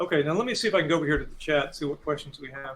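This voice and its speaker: The man's pitch is fairly high for a man, with ordinary variation. He speaks at a very fast pace. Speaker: club meeting host. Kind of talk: interview.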